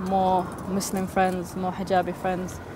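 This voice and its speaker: A woman with a London accent at medium pitch and a fairly slow pace, with audible room echo and noticeable background noise. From London, England. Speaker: interviewee. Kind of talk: interview testimony. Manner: halting, many repetitions.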